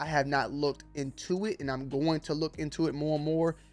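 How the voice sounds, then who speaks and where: Music plays in the background behind a monotone voice with flat intonation. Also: man. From Atlanta, US South. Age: 30s. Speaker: YouTuber. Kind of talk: casual commentary vlog. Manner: casual, conversational.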